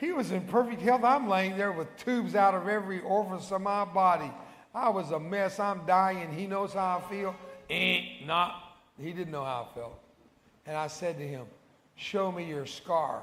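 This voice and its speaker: A Texan accent at a moderate pace, with ordinary pitch variation and audible room echo. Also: man. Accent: Texan American English. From Texas. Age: 70s. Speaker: evangelist. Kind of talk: sermon. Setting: church. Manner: animated.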